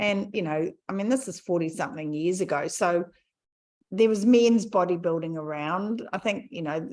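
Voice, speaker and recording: With an ordinary speaking voice, a woman speaks at a moderate pace in a medium pitch with ordinary pitch variation. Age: 60s. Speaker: podcast host, health coach. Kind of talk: casual chat.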